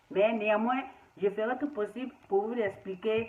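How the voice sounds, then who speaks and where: Against noticeable background noise, a woman speaks at a fairly slow pace with a fairly high pitch and ordinary pitch variation. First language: Spanish (speaking French). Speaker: herbal tea maker. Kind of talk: video monologue. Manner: halting.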